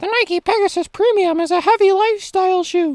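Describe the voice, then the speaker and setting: A put-on character voice at an extremely high pitch moves along at a fairly quick pace. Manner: mocking, put-on.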